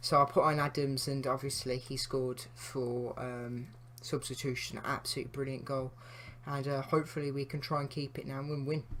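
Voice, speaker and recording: A man at medium pitch and moderate pace, in a monotone, flat intonation. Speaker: gaming YouTuber. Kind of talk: gameplay commentary. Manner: casual, with many fillers; quieter than usual.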